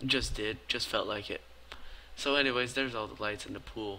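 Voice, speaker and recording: A man speaks at a fairly quick pace in a medium pitch. His tone is bright and sharp, and the background is quiet. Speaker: gaming YouTuber. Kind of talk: voice-over commentary. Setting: late at night, recorded commentary.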